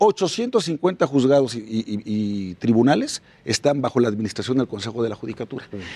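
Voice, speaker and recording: A man speaks at a moderate pace with a medium pitch and a dark, mellow tone, recorded dry and close with no echo. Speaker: politician. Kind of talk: panel discussion. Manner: animated.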